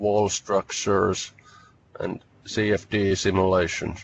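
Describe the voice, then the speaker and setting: At a very slow pace, a man speaks in a fairly low pitch. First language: Finnish. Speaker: researcher. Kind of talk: webinar presentation. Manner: halting.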